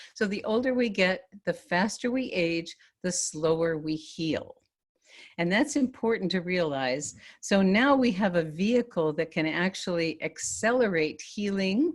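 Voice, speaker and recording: Speaking at a fairly slow pace, a woman uses lively intonation at a medium pitch. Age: 60s. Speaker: health product presenter. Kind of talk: webinar presentation. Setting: online webinar. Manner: animated.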